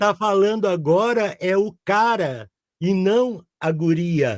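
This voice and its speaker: A man talks at a very slow pace in a high pitch with ordinary pitch variation. His loudness stays very even throughout. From southern Brazil. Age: 60s. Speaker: audiobook narrator. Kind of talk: interview answer. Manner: casual, hesitant.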